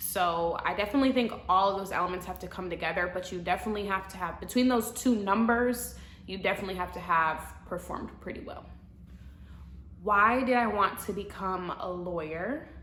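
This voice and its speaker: A woman with an American accent speaks at a fairly quick pace, with big swings in loudness. The room echo is audible. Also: medium pitch for a woman, ordinary pitch variation. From US Midwest, Madison, Wisconsin. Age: 20s. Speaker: law student vlogger. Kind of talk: casual Q&A vlog. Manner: casual, filler-heavy (um, like).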